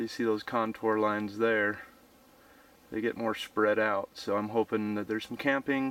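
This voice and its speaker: A man at a moderate pace, monotone and flat in intonation, in a dry sound with no echo. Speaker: hiker vlogger. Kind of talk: casual vlog chat. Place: forest. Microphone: phone near.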